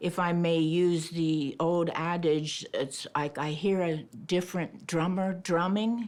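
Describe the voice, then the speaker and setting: A woman with a plain, everyday voice speaks at a fairly low pitch, with fairly even intonation and very even loudness over a quiet background. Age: 60s. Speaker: reality TV participant. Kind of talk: confessional interview.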